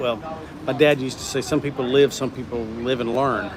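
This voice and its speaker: A man speaks at a medium pitch with a Southern US accent, in a monotone, flat intonation. His pace is fairly quick, and noticeable background noise runs behind him. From US South. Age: 60s. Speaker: livestreamer. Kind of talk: casual chat. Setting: livestream. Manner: halting.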